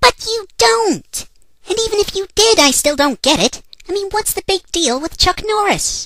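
An extremely high, put-on character voice moves at a moderate pace. Its pitch swings very widely. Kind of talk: comic dialogue. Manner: sarcastic, exasperated.

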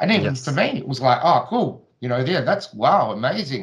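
Over a quiet background, a man speaks at a moderate pace and medium pitch, somewhat breathy, with ordinary pitch variation. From Australia. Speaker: flat earth video creator. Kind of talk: casual chat. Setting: video call. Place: home room. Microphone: studio mic.

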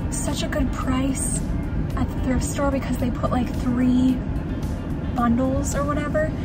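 A woman at a moderate pace, dry sound with no echo, with music in the background. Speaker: thrift vlogger. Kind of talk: casual vlog chat. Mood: cheerful, relaxed. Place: car. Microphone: phone near.

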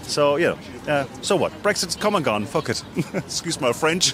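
Lively intonation marks the delivery. The sound is dry with no echo, over noticeable background noise. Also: man, moderate pace. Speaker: interviewee. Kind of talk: interview answer. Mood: cheerful, joking. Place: street. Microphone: handheld.

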